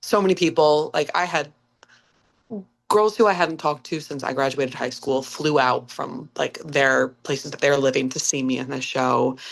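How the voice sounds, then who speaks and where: With an American accent, a woman speaks at a moderate pace in a very deep, low pitch, with ordinary pitch variation. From upstate New York, Clifton Park. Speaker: musical theatre actress. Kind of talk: podcast interview. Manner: animated.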